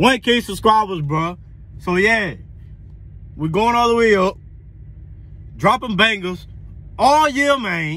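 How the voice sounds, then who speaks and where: Projecting a raised voice with a bright, sharp tone, a man speaks at a very slow pace with lively intonation. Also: dry sound with no echo. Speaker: car vlogger. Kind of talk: casual vlog chat. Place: car. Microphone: phone near.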